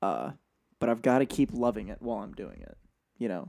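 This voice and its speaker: With a dark, mellow tone, a man talks at a very fast pace, keeping a medium pitch and fairly even intonation. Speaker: college runner and podcast co-host. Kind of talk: casual chat.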